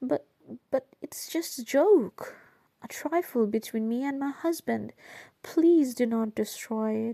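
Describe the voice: Putting on a character voice, a woman speaks slowly with a fairly high pitch, a dark, mellow tone, vocal fry and ordinary pitch variation, in a dry, close recording with no echo.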